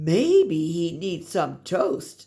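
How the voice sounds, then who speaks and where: A woman uses a put-on character voice with a fairly low pitch. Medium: read story.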